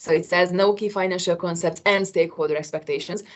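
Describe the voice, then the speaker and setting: A woman with a non-native accent, speaking at a fairly quick pace. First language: not English. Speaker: qualification assessor. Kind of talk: work meeting discussion. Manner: hesitant.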